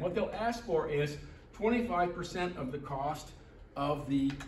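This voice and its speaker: Amid audible room echo and noticeable background noise, a man speaks at a high pitch with lively intonation. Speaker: presenter at a public meeting. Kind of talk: presentation to a meeting. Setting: meeting hall with audience. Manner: fast; halting, repeated words.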